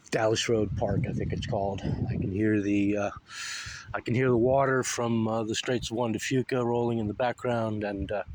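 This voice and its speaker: A man speaks in a flat monotone with an American accent at a medium pitch. Noticeable background noise runs behind him. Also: moderate pace. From US South (Florida, Alabama). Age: 40s. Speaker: political commentary vlogger. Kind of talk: casual vlog monologue. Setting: outdoors by the sea. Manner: halting, many filler words.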